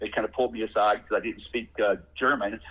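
Talking at a very fast pace, a man speaks with an Alabama accent. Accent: Southern US (Alabama). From US South, Alabama. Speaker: father of a patient. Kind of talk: casual interview conversation.

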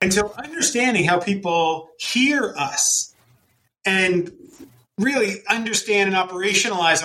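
A raised, projected voice with a bright, sharp tone, very wide pitch swings and a moderate pace. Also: man. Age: 40s. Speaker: epidemiologist and health foundation president. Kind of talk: interview. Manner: halting, repeats words.

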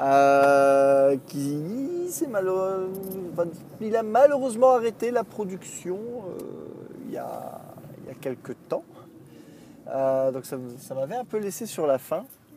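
Speaking very slowly with long, frequent pauses, a man with a high pitch swings very widely in pitch and heavily in loudness over noticeable background noise. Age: 30s. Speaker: podcaster and video maker. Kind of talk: solo monologue while driving. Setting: in a car. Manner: halting, many fillers and repeats.

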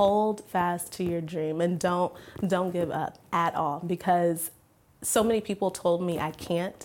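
Her voice fairly low in pitch, a woman speaks at a fairly slow pace in a monotone, flat intonation. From military family, lived around the world. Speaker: news anchor and reporter. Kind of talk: interview conversation.

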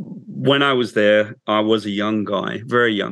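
The speaker has a British accent. The intonation stays fairly even. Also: man. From England. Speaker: comic book writer. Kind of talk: interview. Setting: video call.

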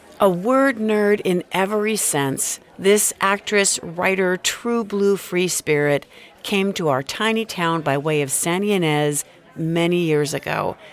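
Over noticeable background noise, a woman speaks at a fairly slow pace in a warm, enthusiastic tone. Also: medium pitch for a woman, ordinary pitch variation. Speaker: podcast host and writing workshop teacher. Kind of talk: podcast introductions.

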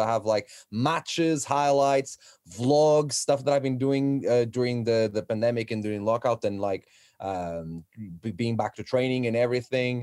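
At a fairly quick pace, a man talks in a medium-pitched voice with ordinary pitch variation. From Portugal. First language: Portuguese. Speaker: professional wrestler. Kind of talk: casual chat.

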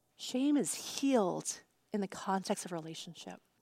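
Speaking with an American accent, a woman has a dark, mellow tone. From US Northeast, Long Island, New York. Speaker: pastor. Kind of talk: sermon.

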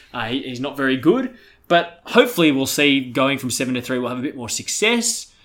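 Fairly quick and fairly high-pitched, this man has a plain, everyday voice with ordinary pitch variation. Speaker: podcast host. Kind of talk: comedic sports podcast banter.

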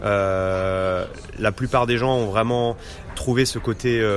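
This man's medium-pitched speech keeps a fairly even intonation while noticeable background noise plays behind it. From Normandy, France. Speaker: business development manager. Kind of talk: interview. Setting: restaurant tea room. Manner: halting, many hesitations.

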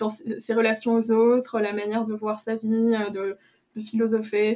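At a fairly slow pace, a woman with a fairly high pitch talks in a monotone, flat intonation. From Luxembourg. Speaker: podcast guest. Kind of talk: interview.

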